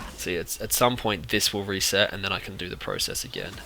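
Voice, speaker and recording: A man with a fairly low pitch and an Australian accent, over noticeable background noise. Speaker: video game guide creator. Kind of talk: tutorial. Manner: fast.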